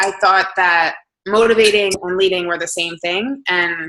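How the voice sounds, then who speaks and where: At a moderate pace, a woman with a New Jersey accent talks in a medium pitch with a bright, sharp tone and fairly even intonation. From New Jersey, Hamilton. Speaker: fitness coach. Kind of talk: motivational talk.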